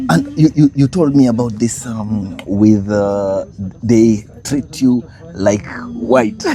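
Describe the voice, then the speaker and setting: Amid noticeable background noise, a man speaks at a very slow pace with ordinary pitch variation. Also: medium pitch for a man. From Kenya. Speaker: vlogger. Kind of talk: casual conversation.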